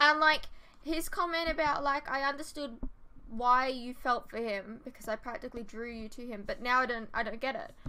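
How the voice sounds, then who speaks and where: A woman projects a raised voice with a bright, sharp tone and big swings in loudness. She speaks at a moderate pace with ordinary pitch variation. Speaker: TV reaction vlogger. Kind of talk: casual vlog chat. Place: home room. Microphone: earbuds.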